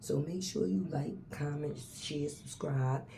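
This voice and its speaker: With noticeable background noise and audible room echo, a woman speaks in a very deep, low pitch. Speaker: celebrity gossip vlogger. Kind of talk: casual commentary vlog. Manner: soft-spoken.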